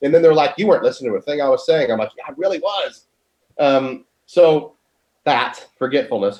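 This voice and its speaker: A man talks at a fairly quick pace with lively intonation and big swings in loudness. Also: fairly high pitch for a man. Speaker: priest. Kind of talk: casual chat.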